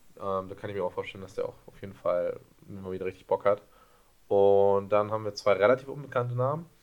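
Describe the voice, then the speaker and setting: Loudness swings widely as a man talks at a very fast pace. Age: 20s. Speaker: basketball podcast co-host, student. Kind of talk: casual chat.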